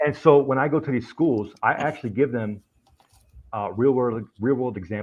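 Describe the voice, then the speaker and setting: A man's normal speaking voice with an American accent, medium pitch, ordinary pitch variation and a moderate pace. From Springfield, Massachusetts. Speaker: army veteran, computer forensics investigator. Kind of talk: casual chat.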